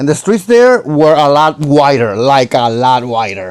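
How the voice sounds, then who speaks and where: The speaker has a Puerto Rican accent. Their pitch swings very widely. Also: man. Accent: Puerto Rican accent, sounds Mexican to him. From Puerto Rico. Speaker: YouTube reactor. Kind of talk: reaction commentary.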